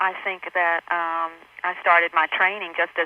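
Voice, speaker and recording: Speaking with a Southern accent, a woman keeps a fairly low pitch and a monotone, flat intonation. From US South. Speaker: actress. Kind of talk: interview. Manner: halting.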